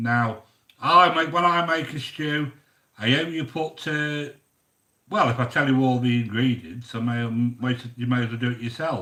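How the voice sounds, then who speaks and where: A man speaks in a British accent at medium pitch. His tone is bright and sharp, with ordinary pitch variation. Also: moderate pace. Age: 60s. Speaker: YouTube cooking host. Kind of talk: casual live-stream chat reading viewer comments. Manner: chatty, hesitant with fillers.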